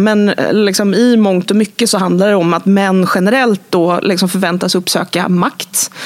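Noticeable background noise accompanies a woman whose medium-pitched speech moves at a moderate pace with fairly even intonation. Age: 30s. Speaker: advertising critic. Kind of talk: interview. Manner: halting.

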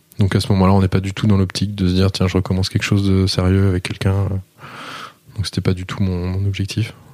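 Over noticeable background noise, a man rattles along at a very fast pace in a fairly low, monotone, flat voice. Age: 30s. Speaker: entrepreneur. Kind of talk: casual chat.

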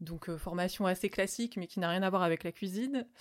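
Here a woman has a plain, everyday voice, caught on a very clean recording with a silent background. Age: 30s. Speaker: vegan caterer. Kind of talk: interview.

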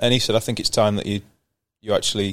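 A man with a Yorkshire accent speaks with fairly even intonation. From Yorkshire, northern England. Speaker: professional cricketer. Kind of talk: casual interview.

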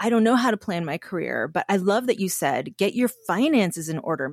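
A woman talks at a fairly quick pace with vocal fry and very wide pitch swings. The sound is dry and close with no echo, and the recording is very clean with a silent background. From Canada. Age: 40s. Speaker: podcast host. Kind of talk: casual chat.

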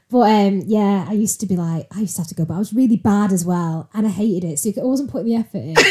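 A woman with a Mancunian accent talks at a very fast pace, with hardly any pauses. Her pitch sits in the middle of a woman's range and varies in an ordinary way. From Salford, Greater Manchester, northern England. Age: 30s. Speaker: recruitment worker. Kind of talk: casual chat.

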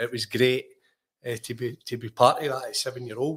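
A medium-pitched man with a Lanarkshire accent at a moderate pace, in a very clean recording with a silent background. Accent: Scottish (Lanarkshire). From Scotland, Lanarkshire (Ashgill, near Larkhall). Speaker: former professional footballer. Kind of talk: casual interview.

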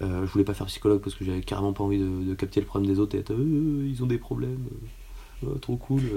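A man speaks at a very fast pace in a somewhat breathy, dark, mellow tone, his fairly low pitch making very wide swings. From Paris region, France. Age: 20s. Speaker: physiotherapist. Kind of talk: casual chat.

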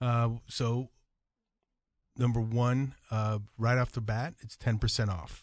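In an American accent, a man speaks at a fairly slow pace with medium pitch. His intonation is flat and monotone against a quiet background. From Jamaica. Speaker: pest control company representative. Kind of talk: casual radio interview. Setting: radio studio.

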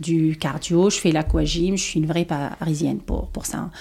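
A woman's fairly low voice with vocal fry at a moderate pace. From Tunisia. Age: 30s. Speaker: former politician. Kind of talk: interview. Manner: halting.

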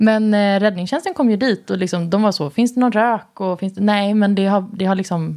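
On a very clean recording with a silent background, a woman speaks fairly quickly in a medium-pitched, dark, mellow tone with ordinary pitch variation. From Värnamo, Småland, Sweden. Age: 30s. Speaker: TV host and journalist. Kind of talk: casual interview chat.

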